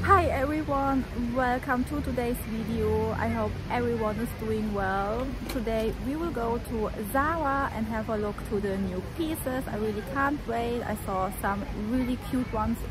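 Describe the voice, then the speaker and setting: Through noticeable background noise, a woman speaks at a fairly slow pace in a dry sound with no echo. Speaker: fashion vlogger. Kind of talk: casual vlog chat. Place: street. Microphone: phone near.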